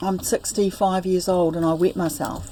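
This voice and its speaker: With a dark, mellow tone, a woman speaks at a fairly low pitch and a moderate pace, her intonation fairly even. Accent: New Zealand. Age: 60s. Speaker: spiritual teacher. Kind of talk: interview about personal life story. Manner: halting.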